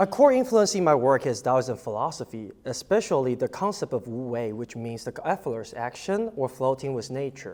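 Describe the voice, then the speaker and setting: At a moderate pace, a man with a Chinese accent talks at medium pitch with very wide pitch swings. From Taiwan, then Shanghai, China. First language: Mandarin Chinese. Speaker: artist and art professor. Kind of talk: short artist talk, partly read aloud. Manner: halting, many fillers.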